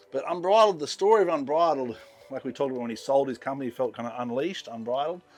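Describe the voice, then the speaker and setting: Very fast and lively in intonation, a man talks in an Australian accent. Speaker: yacht captain. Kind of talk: guided tour. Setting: on a yacht at a boat show. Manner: casual.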